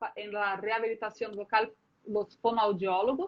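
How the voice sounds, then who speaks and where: A woman is talking. Pitch moves up and down in an ordinary way. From Brazil. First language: Portuguese (speaking Spanish). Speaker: voice specialist, speech therapist. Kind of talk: live interview. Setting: live video stream. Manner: halting.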